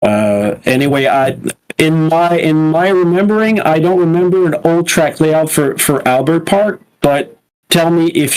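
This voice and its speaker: With a slight French Canadian accent, a man talks at a fairly slow pace in a fairly high voice with ordinary pitch variation. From Quebec. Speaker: sim racing commentator. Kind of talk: live commentary. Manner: halting.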